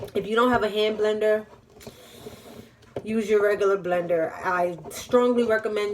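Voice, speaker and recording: A woman in a New York accent, fairly quick and fairly even in intonation. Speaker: vlogger and small business owner. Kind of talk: cooking tutorial. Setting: home kitchen. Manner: fast; casual, chatty.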